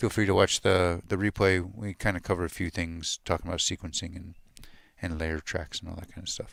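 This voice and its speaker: Mumbling quietly at a very fast pace, a man speaks in a very deep, low pitch with monotone, flat intonation. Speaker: music gear youtuber, livestream host. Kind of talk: casual livestream tutorial chat. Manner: quiet, mumbling.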